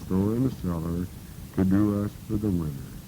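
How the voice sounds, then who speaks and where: A man with an ordinary speaking voice and a fairly low pitch talks at a moderate pace, his pitch varying in an ordinary way. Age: 60s. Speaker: farmer telling his life history. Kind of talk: reading aloud a written life history.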